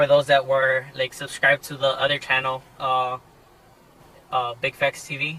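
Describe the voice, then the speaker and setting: This man talks at a moderate pace in a fairly high pitch, his intonation monotone and flat, and the sound is dry and close with no echo. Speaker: car vlogger. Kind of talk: casual vlog talk. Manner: hesitant, many fillers.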